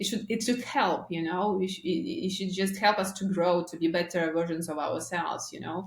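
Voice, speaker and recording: The delivery moves at a moderate pace with ordinary pitch variation and hardly any pauses. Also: woman, medium pitch for a woman. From Russia. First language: Russian. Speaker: marketing agency founder. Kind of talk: podcast interview. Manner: halting.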